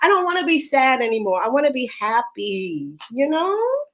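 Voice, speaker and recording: Over noticeable background noise, a woman with a high pitch talks at a moderate pace with very wide pitch swings. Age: 60s. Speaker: Broadway performer. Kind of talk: casual chat.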